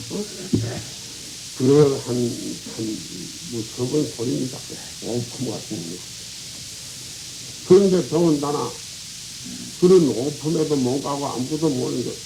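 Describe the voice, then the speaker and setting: With lively intonation and a fairly high pitch, a man speaks at a fairly slow pace with long, frequent pauses. Audible room echo and noticeable background noise surround him. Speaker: Buddhist monk. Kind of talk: dharma talk. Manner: colloquial, rambling with interjections.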